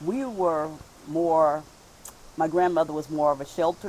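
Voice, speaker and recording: A woman with an American accent, fairly low in pitch, dark and mellow in tone, at a fairly slow pace. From Cleveland, Ohio. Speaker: interviewee, local elder. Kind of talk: interview.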